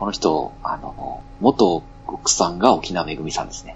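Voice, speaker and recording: A man at a fairly slow pace. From Fukui, Japan. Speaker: podcaster. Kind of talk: casual chat.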